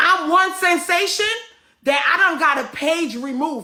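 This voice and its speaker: A woman projects a raised voice with a bright, sharp, animated tone, lively intonation and a moderate pace. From Guyana. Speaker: caller on live stream. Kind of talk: heated rant.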